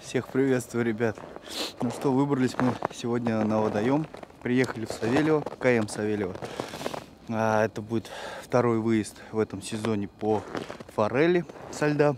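A man talks at a moderate pace with ordinary pitch variation and long, frequent pauses, the sound dry with no echo despite noticeable background noise. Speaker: fishing vlogger. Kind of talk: casual vlog chat. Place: open country. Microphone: phone near.

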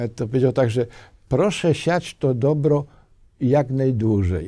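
Very clean recording with a silent background of a man with a fairly high pitch and a dark, mellow tone, at a fairly slow pace with ordinary pitch variation. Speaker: volunteer. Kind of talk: interview.

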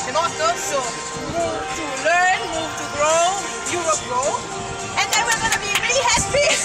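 Someone speaks at a fairly slow pace with loud music in the background. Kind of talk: instructions to a group. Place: street.

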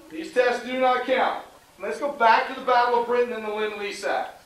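Amid audible room echo, a man speaks at an extremely high pitch with ordinary pitch variation and a moderate pace. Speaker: history teacher. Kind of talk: classroom lecture with questions. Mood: patient, slightly frustrated. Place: classroom. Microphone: camera far.

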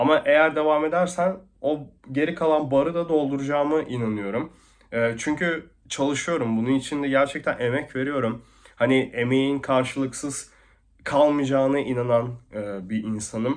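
With ordinary pitch variation, a man speaks at a fairly high pitch and a moderate pace. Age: 20s. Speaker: e-commerce vlogger. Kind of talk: vlog monologue. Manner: hesitant, many fillers.

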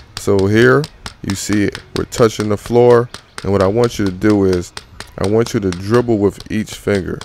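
Over light background noise, a man speaks in a normal speaking voice at a fairly low pitch with fairly even intonation, the sound dry with no echo. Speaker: basketball coach. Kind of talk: tutorial. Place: garden.

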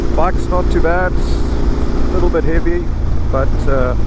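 A man speaks in a dry sound with no echo over loud background noise. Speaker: motorcycle travel vlogger. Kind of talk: casual vlog chat. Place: motorbike. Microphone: helmet.

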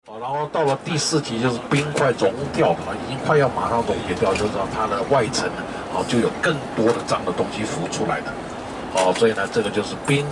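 With loud background noise behind him, a man speaks at a fairly quick pace and ordinary pitch variation. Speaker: tour guide. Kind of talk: commentary to a tour group.

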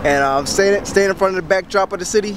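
Noticeable background noise surrounds a man with an American accent who speaks at a high pitch with ordinary pitch variation, the sound dry with no echo. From Philadelphia, US. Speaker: vlogger, touring with a musician. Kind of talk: travel vlog. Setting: outdoors, handheld camera. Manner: animated. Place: street. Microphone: phone near.

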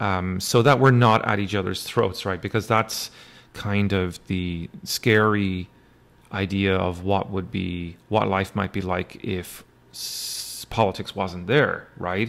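A man's fairly low-pitched voice at a very slow pace. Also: fairly even intonation. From Ireland. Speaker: university lecturer; instructor. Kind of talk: lecture. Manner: hesitant, many fillers. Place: home room. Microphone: webcam.

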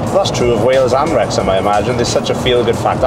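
Over music in the background, a man is speaking. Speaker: presenter. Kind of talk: casual vlog chat. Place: car. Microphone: camera far.

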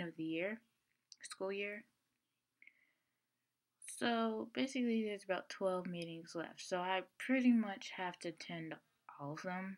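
A woman at a fairly slow pace, with ordinary pitch variation, against a quiet background. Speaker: vlogger. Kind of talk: casual vlog chat. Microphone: webcam.

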